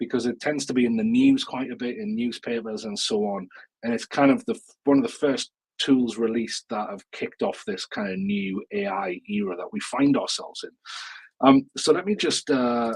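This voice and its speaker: A man with a northeast English accent talks at a moderate pace and medium pitch, with very wide pitch swings. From northeast England, Newcastle. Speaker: education technology speaker and author. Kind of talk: webinar presentation. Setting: live online webinar. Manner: casual, many fillers and repetitions.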